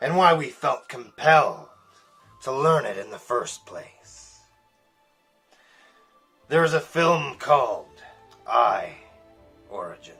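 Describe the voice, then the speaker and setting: With faint music in the background, a man puts on a raspy character voice and leaves long, frequent pauses. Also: fairly slow pace. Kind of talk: spiritual book reading.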